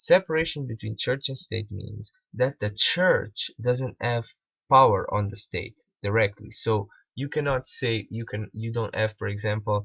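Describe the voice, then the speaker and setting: At a fairly slow pace, a man with medium pitch speaks in a Portuguese accent. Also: ordinary pitch variation. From Portugal. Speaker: video critic / commentator. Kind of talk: commentary on a played video. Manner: halting, many repetitions.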